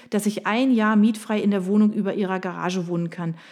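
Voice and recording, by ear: Someone reading aloud in a natural voice, intonation fairly even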